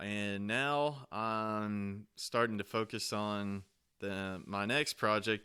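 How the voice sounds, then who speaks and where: A man with a Southern US accent has a fairly low pitch and a bright, sharp tone. The recording is very clean, with a silent background. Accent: Southern US accent, can turn it up. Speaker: podcast host, homesteader. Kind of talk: casual chat. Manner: halting, many fillers.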